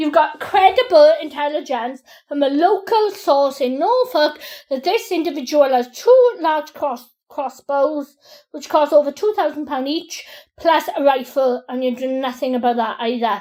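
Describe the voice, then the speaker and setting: A woman speaks loudly at a moderate pace, her high voice dark and mellow with lively intonation. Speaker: crime victim recording police call. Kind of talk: heated phone argument. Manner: interrupting, agitated.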